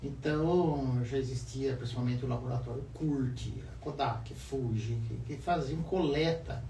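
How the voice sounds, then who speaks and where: A man talks at a fairly slow pace with hardly any pauses. Room echo is audible, and background noise is noticeable. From Brazil, Avaré, interior of São Paulo state. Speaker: photographer. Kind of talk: casual interview.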